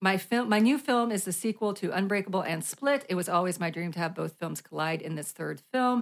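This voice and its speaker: A woman with an ordinary speaking voice at medium pitch, lively intonation, a fairly quick pace and hardly any pauses. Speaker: podcast host. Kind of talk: casual chat. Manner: laughing, playful.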